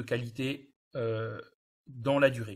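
A man speaks in a somewhat breathy voice. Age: 20s. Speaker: water and environment engineer. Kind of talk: webinar presentation.

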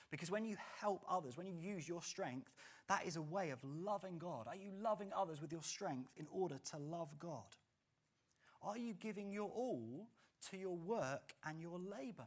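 Here is a man with an English accent and a high pitch. His intonation is lively and his pace moderate. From England. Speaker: pastor. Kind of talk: sermon. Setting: church.

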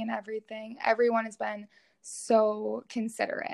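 This woman speaks with an American accent at a fairly high pitch and a moderate pace. Her intonation is monotone and flat, over a quiet background. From Minnesota, Twin Cities area. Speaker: graduate student. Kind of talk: interview.

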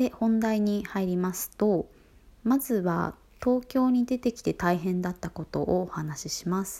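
In a very clean recording with a silent background, a woman with an ordinary speaking voice talks at a medium pitch and a fairly slow pace, showing ordinary pitch variation and big swings in loudness. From Fukuoka, Kyushu. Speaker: podcast host. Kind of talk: solo talk monologue, evening broadcast. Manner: polite, formal-casual, conversational.

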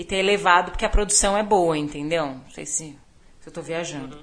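A normal speaking voice from a woman, fairly low in pitch, at a moderate pace with ordinary pitch variation. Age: 30s. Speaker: podcast guest. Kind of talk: casual chat.

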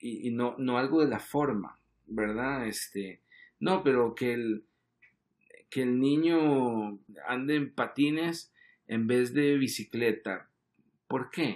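Speaking very slowly with long, frequent pauses, a man uses a medium pitch and ordinary pitch variation. The recording is very clean, with a silent background. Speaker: advertising creative director. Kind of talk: casual chat. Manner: halting, frequent repetitions.

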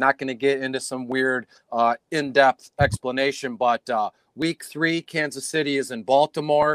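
A man's plain, everyday voice at a fairly high pitch with an American accent, at a moderate pace and with fairly even intonation, in a very clean, dry, close recording with no echo and a silent background. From Detroit, US Midwest. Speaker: fantasy sports analyst. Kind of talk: casual chat. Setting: live stream recording.

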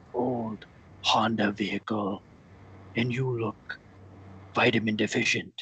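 A man performs a put-on character voice. His intonation is flat and monotone. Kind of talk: comic mock-pirate speech. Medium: comedy sketch. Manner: grandiose, preachy, intense.

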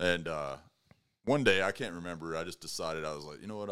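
A man with an American accent talks at a very fast pace with ordinary pitch variation. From Texas, Amarillo. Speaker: entrepreneur. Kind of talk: casual chat.

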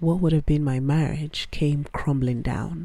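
A woman speaks at a moderate pace with a very deep, low pitch. Her tone is dark and mellow, and somewhat breathy. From Nigeria. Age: 30s. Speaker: podcast host. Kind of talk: personal audio journal monologue.

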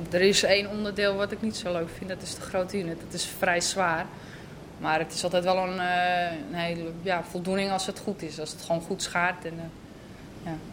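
Her pitch is fairly low for a woman, and her pace is moderate. She speaks in a flat monotone. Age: 20s. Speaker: process operator at steelworks. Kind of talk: interview testimony.

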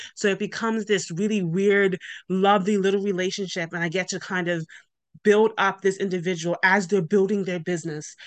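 Speaking with a Bermudian accent, a woman keeps a fairly quick pace. Her medium-pitched voice stays monotone and flat. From Bermuda. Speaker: business owner. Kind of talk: interview.

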